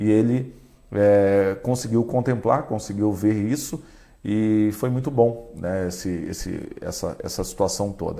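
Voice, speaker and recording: A man speaks fairly slowly in a fairly low pitch. His tone is dark and mellow, with ordinary pitch variation. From Brazil, Caraguatatuba coast of São Paulo. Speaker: radio broadcaster and station director. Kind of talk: interview.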